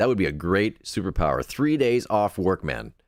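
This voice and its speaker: The recording is very clean with a silent background as a man with a very deep, low pitch and vocal fry makes very wide pitch swings. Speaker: podcast host. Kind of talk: live podcast chat reading viewer comments. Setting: live stream. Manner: casual, hesitant with fillers.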